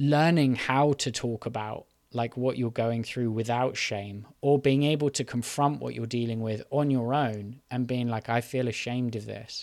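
A man with a British accent at medium pitch and a fairly slow pace, fairly even intonation, on a very clean recording with a silent background. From UK. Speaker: podcast host. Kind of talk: solo monologue on mental health. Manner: hesitant, many filler ums.

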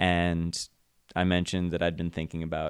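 A man with a very deep, low pitch talks at a moderate pace with an American accent. The recording is very clean, with a silent background. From Ohio, Kent. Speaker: musician and house show organizer. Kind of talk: casual interview chat.

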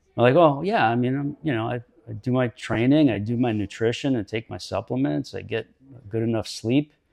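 A man with a normal speaking voice at a medium pitch, ordinary pitch variation and a fairly quick pace. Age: 50s. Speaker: podcast host and fitness coach. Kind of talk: casual interview. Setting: studio.

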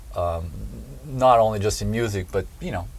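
Somewhat breathy, a man talks at a moderate pace with audible room echo. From southern Brazil. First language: Portuguese. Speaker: drummer. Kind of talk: interview. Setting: in person.

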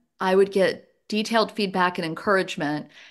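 Over a quiet background, a woman with an American accent speaks at a medium pitch and a moderate pace. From US South (Louisiana, West Virginia, Georgia). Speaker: economics professor. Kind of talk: casual interview.

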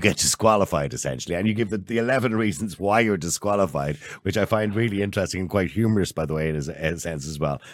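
On a very clean recording with a silent background, a man with an Irish accent speaks very fast at a fairly low pitch. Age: 50s. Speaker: podcast host. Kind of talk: interview.

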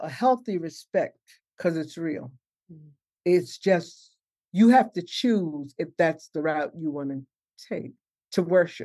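Against a quiet background, a woman with a New York accent speaks at a fairly slow pace in a dark, mellow tone, with long, frequent pauses. Her intonation is lively and her loudness swings widely. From New York City (Harlem, Brooklyn). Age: 70s. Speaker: herbalist and chaplain. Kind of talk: casual interview.

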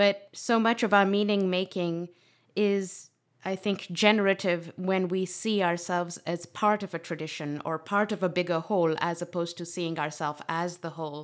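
With an unremarkable speaking voice, a woman talks at a moderate pace and fairly low pitch. Her intonation is fairly even, and the recording is very clean with a silent background. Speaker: podcast host. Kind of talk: interview.

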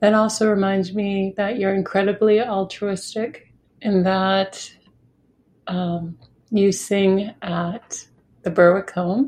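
A very slow, monotone, flat delivery in an American accent, warm in tone, over a quiet background. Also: woman, medium pitch for a woman. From New Hampshire, US. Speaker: podcast host. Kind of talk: casual interview. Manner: warm, laughs often.

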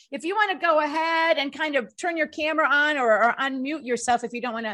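On a very clean recording with a silent background, a woman talks at a very fast pace in a raised, projected voice, her tone bright and sharp and her pitch variation ordinary. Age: 60s. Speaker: talk show host. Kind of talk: casual chat.

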